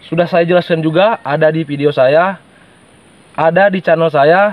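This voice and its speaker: The sound is dry and close, with no echo, and noticeable background noise. The voice shows ordinary pitch variation. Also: man. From Sumatra, Indonesia (Batak). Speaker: YouTuber, forest vlogger. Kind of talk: vlog explanation to viewers. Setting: outdoors in the forest.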